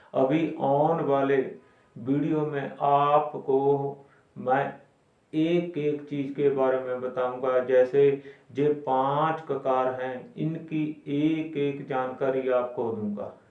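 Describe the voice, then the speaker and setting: Fairly even intonation in a Punjabi accent, with audible room echo. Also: man, fairly high pitch for a man. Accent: Punjabi-accented Hindi. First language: Punjabi (speaking Hindi). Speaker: Sikh religious explainer. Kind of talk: religious explainer talk. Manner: halting.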